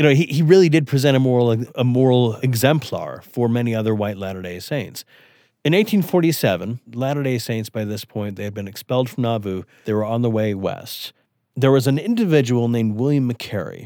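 An unremarkable speaking voice with an American accent moves at a fairly quick pace with ordinary pitch variation, on a very clean recording with a silent background. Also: man, medium pitch for a man. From rural western Wyoming, US. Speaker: historian. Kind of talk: interview.

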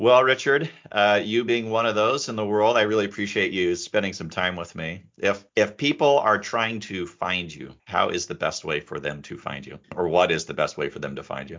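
At a moderate pace with hardly any pauses, a man with an unremarkable speaking voice and fairly low pitch uses lively intonation and big swings in loudness. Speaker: podcast host and lawyer. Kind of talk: casual interview.

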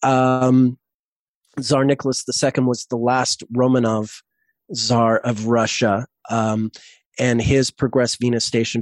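A man's flat, monotone delivery in a dry, close sound with no echo, against a quiet background. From Canada, Montreal. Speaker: astrologer. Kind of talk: casual chat. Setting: video call.

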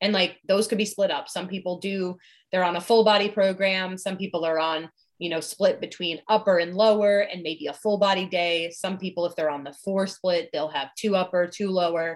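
With an unremarkable speaking voice, a woman talks at a moderate pace and medium pitch, keeping fairly even intonation. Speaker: fitness coach. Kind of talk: casual chat.

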